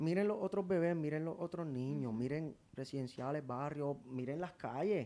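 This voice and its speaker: A man in a Puerto Rican accent, fairly high in pitch, at a moderate pace with ordinary pitch variation. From Puerto Rico. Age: 30s. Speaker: singer and social media personality. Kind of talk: casual interview chat. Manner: animated.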